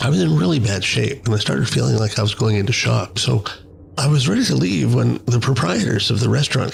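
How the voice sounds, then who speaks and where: Against noticeable background noise, a man talks at a fairly quick pace and a fairly low pitch. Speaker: podcaster. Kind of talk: monologue storytelling podcast.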